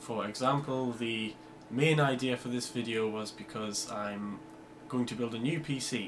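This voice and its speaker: Against noticeable background noise, a man with medium pitch talks at a moderate pace with fairly even intonation. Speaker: aviation videographer. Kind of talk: casual talk to camera.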